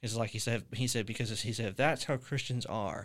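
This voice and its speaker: Heard in a very clean recording with a silent background, a plain, everyday voice speaks at a fairly quick pace with fairly even intonation. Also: man. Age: 20s. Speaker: podcast host. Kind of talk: casual chat.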